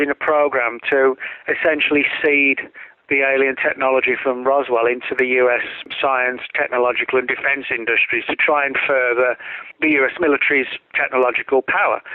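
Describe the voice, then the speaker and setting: A man talks fairly quickly with an English accent. His loudness stays very even. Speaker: author and conspiracy researcher. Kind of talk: interview.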